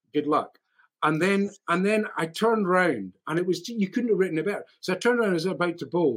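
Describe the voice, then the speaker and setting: Speaking very fast in a Scottish accent, a man uses a high pitch with ordinary variation. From Scotland. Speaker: actor and voiceover artist. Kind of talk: casual interview chat. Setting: video call.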